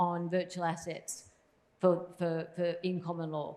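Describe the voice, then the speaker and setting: A woman speaks with an Australian accent in a monotone, flat intonation. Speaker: policy consultant. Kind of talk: panel discussion. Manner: fast.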